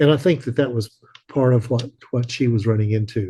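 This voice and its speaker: A man with an American accent talks at a moderate pace and a medium pitch. His tone is dark, mellow and somewhat breathy. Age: 70s. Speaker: widower of an abduction researcher. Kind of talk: interview. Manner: halting.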